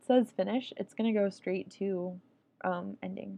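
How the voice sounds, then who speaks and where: The woman's voice has a dark, mellow tone. She speaks at a fairly slow pace. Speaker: amateur coding tutorial maker. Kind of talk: casual screen-recorded tutorial narration. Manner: hesitant, many filler words.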